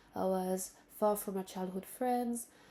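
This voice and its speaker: Speaking in a French accent, a woman has a dark, mellow tone at medium pitch. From Benin and Central African Republic, French-speaking. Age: 20s. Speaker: vlogger. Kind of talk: casual monologue to camera. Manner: halting, with fillers and restarts.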